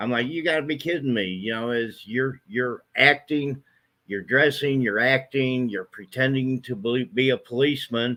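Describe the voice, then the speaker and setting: A man speaks at a moderate pace in a medium pitch with ordinary pitch variation. His tone is bright and sharp. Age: 60s. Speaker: local resident. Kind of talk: casual chat.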